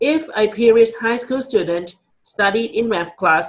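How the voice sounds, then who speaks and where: At a moderate pace, the speaker uses ordinary pitch variation with a Thai accent. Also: man. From Thailand. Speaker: college student. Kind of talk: class presentation speech. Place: office.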